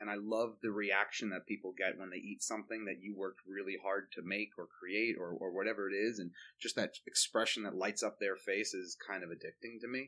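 A man with a fairly low pitch, a bright, sharp tone, monotone, flat intonation and a fairly quick pace, in a New York accent. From New York, Long Island. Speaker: pastry chef. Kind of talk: interview. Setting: front porch.

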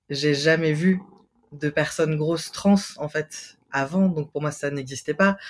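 Speaking very slowly, a man uses a fairly high, somewhat breathy voice with fairly even intonation. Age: 30s. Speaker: podcast guest, transmasculine person. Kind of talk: casual chat.

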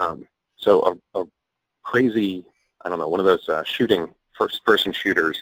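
There are long, frequent pauses from this man. Otherwise he keeps a moderate pace. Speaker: freelance technology writer. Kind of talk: casual chat.

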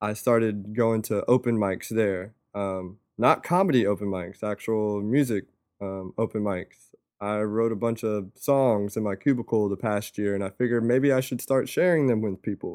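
Speaking with an American accent, a man has a normal speaking voice and a fairly low pitch with ordinary pitch variation. He talks at a moderate pace against a quiet background. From North Carolina (Fayetteville). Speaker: podcast host. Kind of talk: casual chat.

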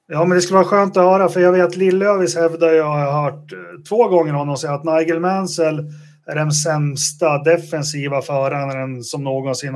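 An unremarkable speaking voice from a man, fairly high in pitch, at a moderate pace with fairly even intonation. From Sweden, Västerås. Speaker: podcast host. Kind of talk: casual chat.

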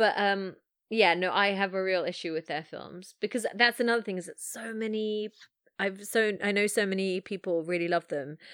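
The speaker has an English accent and fairly even intonation at a moderate pace. The sound is dry and close, with no echo. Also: woman. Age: 30s. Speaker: filmmaker. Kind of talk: casual chat. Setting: remote call.

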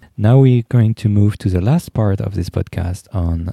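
Dark and mellow in tone, a man speaks with a French accent and ordinary pitch variation. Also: dry, close sound with no echo. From France. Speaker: psychoanalyst, podcast co-host. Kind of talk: panel discussion. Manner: halting.

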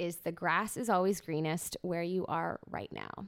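An animated, enthusiastic voice with a bright, sharp tone moves at a moderate pace. The recording is very clean, with a silent background. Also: woman. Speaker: podcast host. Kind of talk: casual interview chat. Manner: stutters when excited.

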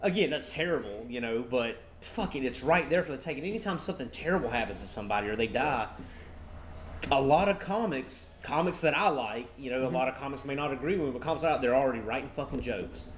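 A man talks very fast in a fairly high pitch with lively intonation. Noticeable background noise is present. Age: 30s. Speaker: stand-up comedian. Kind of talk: casual chat. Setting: outdoor porch, live-streamed.

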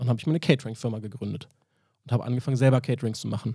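A man with a medium pitch and a dark, mellow tone, somewhat breathy. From Berlin, Germany. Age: 30s. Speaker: barista. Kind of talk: casual chat. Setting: hotel.

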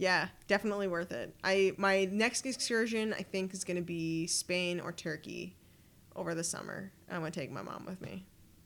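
A woman with a Canadian accent and an ordinary speaking voice talks at a medium pitch and moderate pace with ordinary pitch variation. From Ottawa, Canada. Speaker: traveler. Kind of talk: casual chat.

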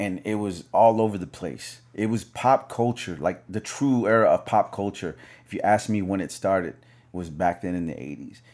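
With a plain, everyday voice, a man of fairly low pitch talks at a moderate pace with ordinary pitch variation on a very clean recording with a silent background. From US South. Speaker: DJ. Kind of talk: casual interview chat. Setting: studio with camera.

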